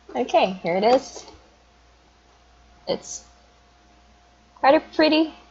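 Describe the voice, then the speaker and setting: Speaking at a very slow pace with long, frequent pauses, a woman uses a high pitch that moves in very wide swings. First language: not English. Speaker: video blogger. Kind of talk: casual unboxing review. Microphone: phone used as webcam.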